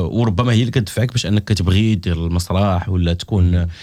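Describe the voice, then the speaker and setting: A man speaks in a very deep, low voice with a dark, mellow tone. His pitch varies in an ordinary way, on a very clean recording with a silent background. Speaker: comedian. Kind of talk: casual chat.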